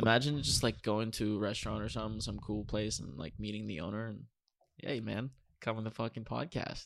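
Fairly quick, fairly low-pitched male speech with vocal fry and ordinary pitch variation. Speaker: podcast co-host. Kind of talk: casual chat.

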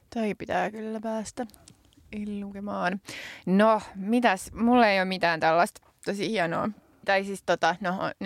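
A woman with a plain, everyday voice and medium pitch speaks at a fairly slow pace with fairly even intonation. The recording is very clean with a silent background and a dry, close sound with no echo. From Finland. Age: 30s. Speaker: podcast co-host and politician. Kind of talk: casual chat. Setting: studio.

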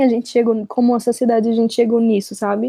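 Here a woman speaks at a fairly high pitch. Her tone is dark and mellow. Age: 20s. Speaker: podcast host. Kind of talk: casual chat.

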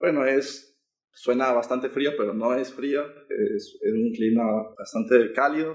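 Here a man has an unremarkable speaking voice at a medium pitch. He goes at a fairly slow pace with ordinary pitch variation. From Ecuador, Quito. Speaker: student. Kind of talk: interview.

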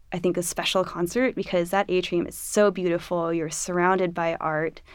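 In a Californian accent, a woman speaks at a medium pitch. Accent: General American (California). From Los Angeles. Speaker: orchestra flutist. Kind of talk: casual interview.

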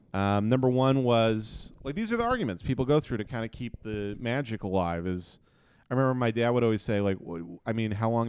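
On a very clean recording with a silent background, a man in a normal speaking voice talks at a fairly quick pace and medium pitch with ordinary pitch variation. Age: 20s. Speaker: comedian. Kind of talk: casual chat.

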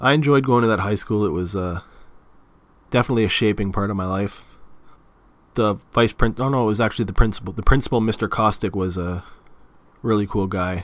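With an Ontario accent, a man speaks at a fairly quick pace and fairly low pitch, using ordinary pitch variation and long, frequent pauses. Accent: Canadian (Ontario). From Canada, Toronto area. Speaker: podcast host. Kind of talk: casual monologue.

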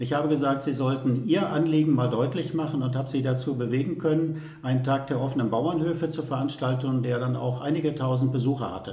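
Fairly high pitch for a man, fairly even intonation, and audible echo from the room. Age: 60s. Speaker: mayor. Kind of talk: interview.

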